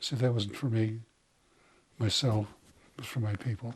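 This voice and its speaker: A man speaks with an American accent at a medium pitch. His voice is somewhat breathy. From Montana, Crow reservation. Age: 80s+. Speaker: war veteran. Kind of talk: interview. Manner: casual.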